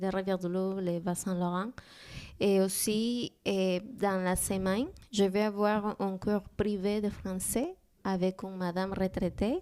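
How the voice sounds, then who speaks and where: In a Spanish accent, a woman speaks very slowly at a medium pitch, her tone dark and mellow and her intonation flat and monotone. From Peru. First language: Spanish (speaking French). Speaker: immigrant guest. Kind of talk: interview. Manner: halting.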